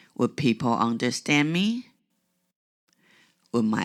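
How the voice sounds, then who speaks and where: Someone with a non-native accent speaks at a very slow pace in a very clean recording with a silent background. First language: not English. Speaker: podcast host. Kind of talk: reflective podcast monologue.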